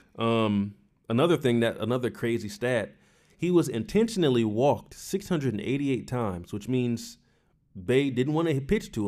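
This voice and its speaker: The voice has a dark, mellow tone and lively intonation at a fairly quick pace. The recording is very clean, with a silent background. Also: man. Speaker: baseball podcast co-host. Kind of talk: casual chat. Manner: loud.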